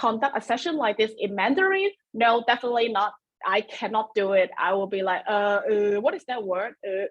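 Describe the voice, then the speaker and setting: A woman speaks in a Cantonese accent at a fairly quick pace. Her intonation is lively. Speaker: webinar presenter. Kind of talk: webinar presentation. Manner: halting.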